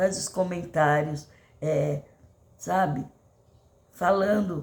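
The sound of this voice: Somewhat breathy, a woman speaks at a fairly low pitch with fairly even intonation.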